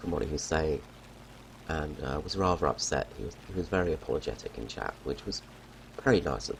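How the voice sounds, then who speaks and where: There is noticeable background noise behind a man with a very deep, low pitch. He talks at a fairly quick pace with long, frequent pauses. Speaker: gaming YouTuber. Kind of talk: gameplay commentary. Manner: casual, hesitant.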